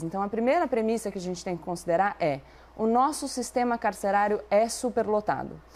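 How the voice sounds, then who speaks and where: Her intonation is lively. The woman speaks at a fairly quick pace. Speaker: debate commentator. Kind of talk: debate. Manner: fast.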